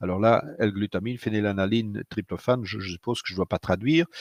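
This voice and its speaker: A man with a Dutch accent and ordinary pitch variation, dry and close with no echo, on a very clean recording with a silent background. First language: Dutch (speaking French). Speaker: physician. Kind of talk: lecture. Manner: hesitant, many fillers.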